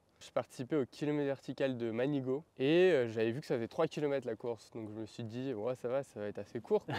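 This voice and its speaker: At a very fast pace with hardly any pauses, a man speaks at medium pitch with ordinary pitch variation and a dark, mellow tone, recorded dry and close with no echo. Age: 20s. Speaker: professional trail runner. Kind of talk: interview.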